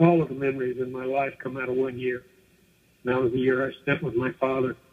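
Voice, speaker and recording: The voice belongs to a man. It is medium in pitch. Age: 60s. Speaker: former commune member. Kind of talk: radio interview. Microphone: muffled.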